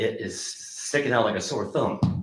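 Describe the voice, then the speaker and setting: A man speaks in a somewhat breathy voice. Room echo is audible. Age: 70s. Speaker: public commenter at town meeting. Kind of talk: public comment. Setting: town council meeting. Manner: animated.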